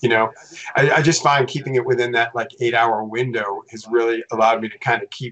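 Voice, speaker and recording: Using a plain, everyday voice, a man of medium pitch talks at a fairly quick pace with fairly even intonation and big swings in loudness. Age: 60s. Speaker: tech company employee. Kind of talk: casual chat.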